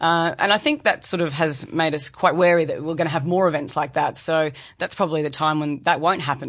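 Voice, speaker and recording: This woman has an Australian accent. Her pitch is very deep and low. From Brisbane, Australia. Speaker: investment bank sales executive. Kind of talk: interview. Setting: studio.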